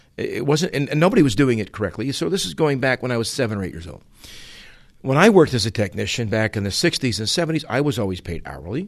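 Against a quiet background, a man with an American accent talks at a very fast pace at a medium pitch, using very wide pitch swings and vocal fry. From Utah and Massachusetts, US. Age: 60s. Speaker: automotive trainer. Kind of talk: opinion monologue. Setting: away from home.

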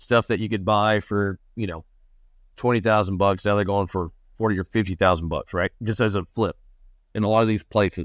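A voice with a Texan accent comes through a very clean recording, silent background, with a dry, close sound with no echo. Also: man, fairly low pitch for a man, fairly even intonation. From West Texas. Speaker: land investor. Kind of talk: interview.

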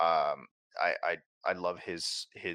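A man's bright, sharp voice, dry and close with no echo, on a very clean recording with a silent background. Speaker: gaming show co-host. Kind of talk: casual chat about video games.

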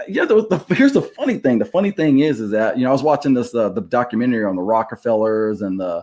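At a fairly quick pace, a man with an ordinary speaking voice talks with lively intonation. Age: 50s. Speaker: podcast co-host. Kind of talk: casual chat.

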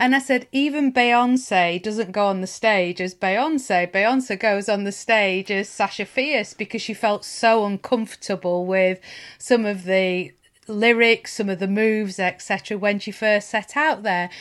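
In a Lancashire accent, a woman speaks fairly slowly at a medium pitch with ordinary pitch variation. The recording is very clean, the background silent. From northern England (Lancashire). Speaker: podcast host. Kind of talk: casual interview chat.

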